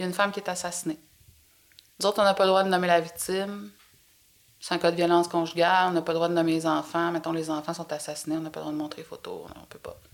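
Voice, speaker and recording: A woman with a Quebec accent talks at a very fast pace yet with long, frequent pauses, using a fairly low pitch, fairly even intonation and big swings in loudness. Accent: Québécois French. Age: 50s. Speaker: host's mother, former media researcher. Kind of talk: casual chat.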